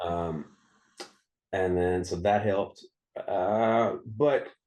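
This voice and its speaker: Here a man speaks with an American accent. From US South, Mississippi and Memphis. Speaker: singer-songwriter. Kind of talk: casual interview chat. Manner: halting, many fillers and repeats.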